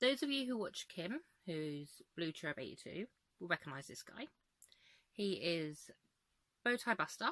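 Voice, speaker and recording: With an English accent, a woman with a fairly low pitch and a bright, sharp tone makes very wide pitch swings and big swings in loudness, leaving long, frequent pauses in a dry, close recording with no echo. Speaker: crochet vlogger. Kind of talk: casual vlog. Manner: chatty; fast.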